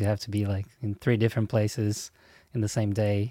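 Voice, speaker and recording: Speaking with a Portuguese accent, a man uses a fairly low pitch, a dark, mellow tone and monotone, flat intonation at a moderate pace, in a dry, close sound with no echo on a very clean recording with a silent background. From Brazil. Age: 30s. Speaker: songwriting teacher and musician. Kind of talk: interview.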